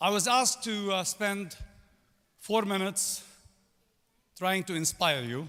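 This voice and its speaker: A man with a Lebanese accent uses a raised, projected voice with a bright, sharp tone and a high pitch that shows ordinary pitch variation. He speaks at a fairly slow pace with long, frequent pauses, in a very clean recording with a silent background. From Lebanon. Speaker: commencement speaker, business executive. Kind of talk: commencement speech.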